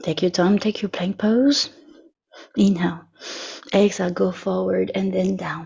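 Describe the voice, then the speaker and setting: A woman speaks with a French accent. Her pace is moderate. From France. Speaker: yoga teacher. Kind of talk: yoga class instruction.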